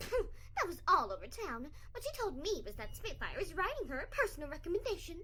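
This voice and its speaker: In a put-on character voice with a theatrical tone, a female-sounding voice at an extremely high pitch races along at a fairly quick pace with hardly any pauses over clear background noise. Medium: audio drama. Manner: prim, theatrical.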